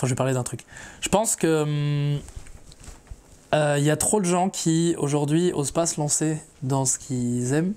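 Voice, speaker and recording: A man with a dark, mellow tone speaks at a fairly high pitch with ordinary pitch variation. His pace is fairly slow, with long, frequent pauses. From France, Mayenne (Château-Gontier). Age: 20s. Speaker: rapper. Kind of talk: interview. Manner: casual, hesitant with many fillers.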